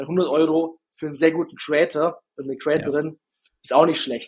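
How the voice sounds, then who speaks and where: A man's fairly high-pitched voice with a slight Swabian accent. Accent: slight Swabian regional accent, rolled R. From Bavarian Swabia, Günzburg area. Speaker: ad agency founder, TikTok ads expert. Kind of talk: interview.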